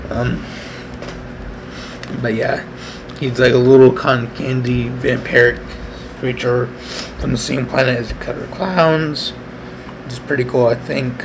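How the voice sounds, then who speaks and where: With long, frequent pauses, a man of medium pitch talks at a fairly slow pace and fairly even intonation, noticeable background noise and room echo audible around him. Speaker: artist live-streaming a speed painting. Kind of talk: casual live-stream drawing commentary. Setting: at home, live stream. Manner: halting, many fillers; soft-spoken, trying to be quiet.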